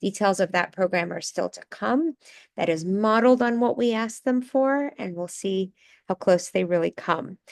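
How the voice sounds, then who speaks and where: An unremarkable speaking voice with lively intonation and big swings in loudness moves at a moderate pace, recorded dry and close with no echo against a quiet background. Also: woman, medium pitch for a woman. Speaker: housing advocate. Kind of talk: presentation.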